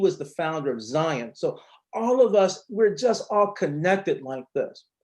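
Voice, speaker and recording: A man with lively intonation talks at a moderate pace over a quiet background. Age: 50s. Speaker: educator running a learning academy. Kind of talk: panel discussion.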